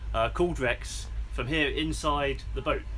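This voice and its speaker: Background music is playing. A man talks over it. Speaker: presenter. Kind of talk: educational live broadcast presenting to schools. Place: boat.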